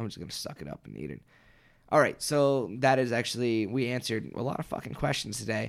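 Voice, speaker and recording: Using ordinary pitch variation, a man with a medium pitch talks at a very fast pace. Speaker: podcast host. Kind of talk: casual chat. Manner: laughs often.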